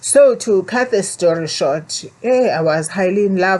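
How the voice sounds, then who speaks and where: Speaking in a South African accent, a woman keeps a medium pitch. Her pace is moderate. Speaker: vlogger. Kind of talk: personal storytelling. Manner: halting.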